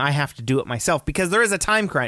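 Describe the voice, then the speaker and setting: Recorded dry and close with no echo against a quiet background, a man uses a normal speaking voice with a fairly high pitch and lively intonation. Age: 30s. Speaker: podcast co-host. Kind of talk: casual chat.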